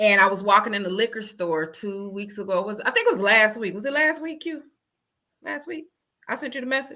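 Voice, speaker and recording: A woman with a plain, everyday voice talks at a fairly quick pace, her fairly high pitch moving with lively intonation and big swings in loudness. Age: 40s. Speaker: caller. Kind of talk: casual chat.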